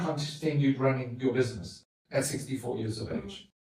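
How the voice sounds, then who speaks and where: Somewhat breathy male speech, fairly high-pitched, at a moderate pace with audible room echo. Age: 50s. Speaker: podcast host. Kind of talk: interview with his mother.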